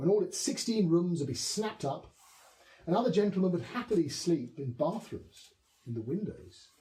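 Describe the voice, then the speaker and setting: A dark, mellow voice in a southern English accent, moderate in pace, with very wide pitch swings. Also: man. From south-east England. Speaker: poet. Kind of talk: poetry reading. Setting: historic house with small audience. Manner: soft-spoken.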